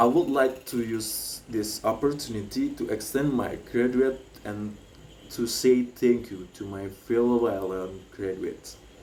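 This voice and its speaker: Speaking at a fairly slow pace with an Indonesian accent, a man with a medium-pitched voice shows ordinary pitch variation and big swings in loudness, with audible room echo. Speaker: graduate student speaker. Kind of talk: commencement speech. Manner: halting, with fillers.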